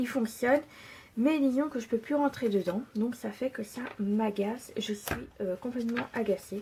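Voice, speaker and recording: Fairly high in pitch with a dark, mellow tone, a woman speaks at a fairly slow pace with ordinary pitch variation. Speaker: scrapbooking tutorial maker. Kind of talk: tutorial. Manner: hesitant, many fillers.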